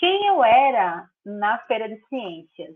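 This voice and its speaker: A woman speaks at a high pitch and a very slow pace. Her pitch swings very widely. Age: 20s. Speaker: law master's student and court clerk. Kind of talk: casual interview.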